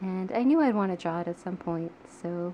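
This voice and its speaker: Soft-spoken, a woman talks at a medium pitch and moderate pace with ordinary pitch variation. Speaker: artist. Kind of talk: ASMR soft-spoken sketchbook tour.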